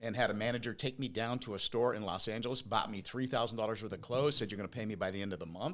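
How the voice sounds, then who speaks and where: With hardly any pauses, a man talks at a very fast pace in a medium-pitched voice with ordinary pitch variation. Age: 60s. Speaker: business owner. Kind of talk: interview.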